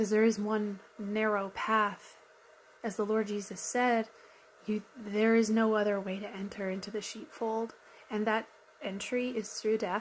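The speech comes at a fairly slow pace with monotone, flat intonation over light background noise. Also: woman, fairly high pitch for a woman. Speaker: YouTube commentator. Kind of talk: reaction commentary, sermon-like. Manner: earnest, reflective. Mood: earnest, soft, heartfelt. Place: home room. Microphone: phone near.

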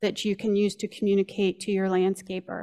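This is a woman speaking. The background is quiet. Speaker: nonprofit executive director; presenter. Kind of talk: welcome remarks. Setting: stage with audience. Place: hall. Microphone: podium.

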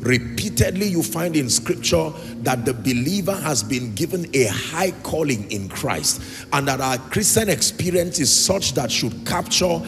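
A man talks at a fairly slow pace. Behind him, music plays faintly. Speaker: preacher. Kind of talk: sermon. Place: church. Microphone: handheld.

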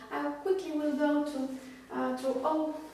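Strong room echo fills the recording as a woman talks at a moderate pace in a high pitch. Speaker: fitness instructor. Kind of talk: tutorial. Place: home room. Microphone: camera far.

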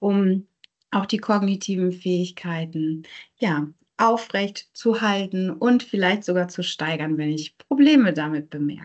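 Fairly slow speech with ordinary pitch variation over a quiet background. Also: woman. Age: 30s. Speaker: neuropsychologist; presenter. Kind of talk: lecture. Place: home room. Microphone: video call.

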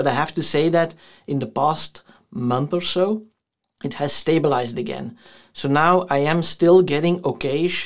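The background is quiet while a male speaker talks. His speed is moderate and his pitch varies in an ordinary way. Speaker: tech youtuber. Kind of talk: casual vlog review. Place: home room.

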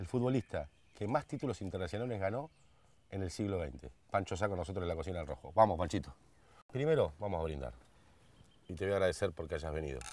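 Dry with no echo, a man's very deep, low voice with vocal fry races at a very fast pace, animated in tone with very wide pitch swings, broken by long, frequent pauses. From Argentina. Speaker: show host. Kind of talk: casual chat. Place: garden.

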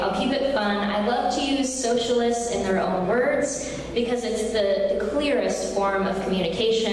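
A woman talks at a moderate pace with ordinary pitch variation. Strong room echo and light background noise fill the recording. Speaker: conference speaker. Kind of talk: political speech. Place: hall. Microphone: podium.

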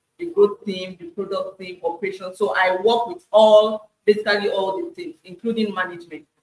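The room echo is audible. The pace is moderate. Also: woman. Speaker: data analyst. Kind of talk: interview. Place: home room. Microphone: video call.

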